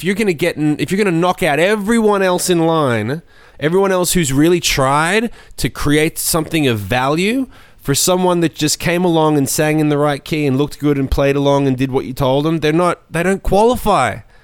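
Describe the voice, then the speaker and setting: An animated tone comes through at a very even loudness. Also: man, fairly high pitch for a man, ordinary pitch variation. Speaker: podcast co-host and DJ. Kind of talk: casual chat. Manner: animated, profane, opinionated.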